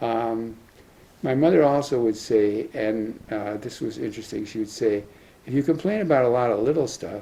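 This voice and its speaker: A man talks at a moderate pace in a medium pitch. His tone is dark and mellow. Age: 80s+. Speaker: retired professor. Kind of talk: talk sharing life lessons. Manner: halting, with fillers.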